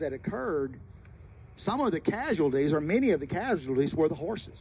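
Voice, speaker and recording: A man at a fairly quick pace with very wide pitch swings, over light background noise. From US South, Florence, Alabama; Alabama. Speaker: local historian giving a site tour; local history guide. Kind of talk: guided tour talk to a group. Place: open country. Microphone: handheld.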